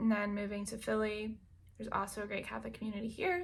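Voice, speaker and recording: Using an ordinary speaking voice, a woman with an American accent talks at a fairly quick pace and a fairly high pitch. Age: 30s. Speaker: lifestyle vlogger. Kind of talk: casual vlog monologue.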